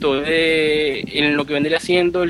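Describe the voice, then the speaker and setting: A man speaks with a Venezuelan accent while music plays in the background. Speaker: sysadmin. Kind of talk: casual interview.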